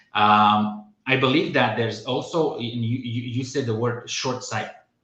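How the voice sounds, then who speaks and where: A man speaks at a medium pitch and a fairly slow pace, his tone bright and sharp. His intonation stays fairly even, and audible room echo fills the recording. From Romania. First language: Romanian. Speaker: podcast host. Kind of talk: casual chat. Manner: halting.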